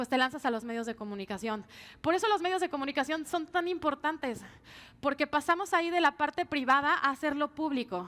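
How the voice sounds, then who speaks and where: Speaking at a fairly quick pace, a woman with a high pitch uses lively intonation and a bright, sharp tone. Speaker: pollster and political consultant. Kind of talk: conference talk. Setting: stage with audience. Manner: fast.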